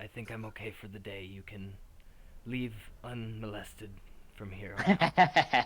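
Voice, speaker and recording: Doing a put-on character voice, a man speaks in a fairly low pitch at a moderate pace. He leaves long, frequent pauses. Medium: actual play. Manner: formal, slightly archaic, playful.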